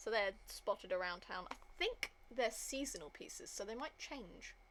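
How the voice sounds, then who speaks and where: A woman with a British accent at a moderate pace. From Britain. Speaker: gaming streamer. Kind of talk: casual gameplay commentary.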